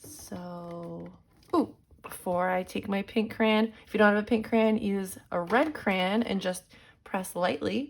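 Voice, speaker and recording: A woman's warm tone at a very slow pace, on a very clean recording with a silent background. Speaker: elementary school art teacher. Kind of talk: drawing tutorial for children. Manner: warm, encouraging.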